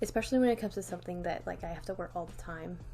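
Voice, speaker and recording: A woman speaks with music in the background. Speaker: vlogger. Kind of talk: casual vlog talk. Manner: rambling, filler-heavy casual.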